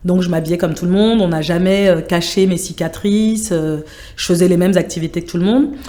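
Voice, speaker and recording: A woman with a normal speaking voice talks at a fairly quick pace, with medium pitch and ordinary pitch variation. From France, Sevran (Seine-Saint-Denis). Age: 40s. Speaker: project manager in international relations. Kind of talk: interview conversation.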